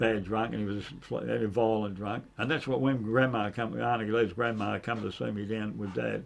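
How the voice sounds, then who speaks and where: A man with a strong Australian accent talks at a fairly quick pace. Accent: broad Australian. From Sydney, Australia. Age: 70s. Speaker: former gangster and enforcer. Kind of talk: casual interview chat. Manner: halting, repetitive.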